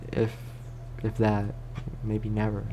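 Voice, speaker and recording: Noticeable background noise sits behind a soft-spoken man. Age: 20s. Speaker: ASMR creator. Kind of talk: casual talk to camera.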